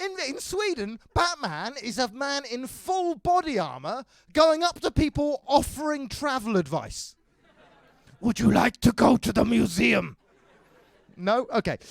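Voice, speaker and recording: Here a man speaks in an English accent at an extremely high pitch. His pitch swings very widely and his pace is fairly slow. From England. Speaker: stand-up comedian. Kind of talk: stand-up.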